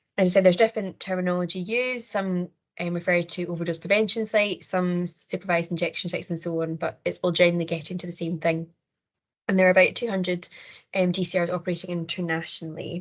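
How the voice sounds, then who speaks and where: A woman with a Scottish accent speaks at a very fast pace. Her fairly low voice has monotone, flat intonation. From Scotland. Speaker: criminology lecturer and researcher. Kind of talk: conference presentation.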